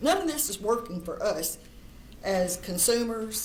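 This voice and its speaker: The speaker has lively intonation, with audible room echo in the recording. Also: woman. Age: 70s. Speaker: cannabis industry advocate. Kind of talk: public testimony.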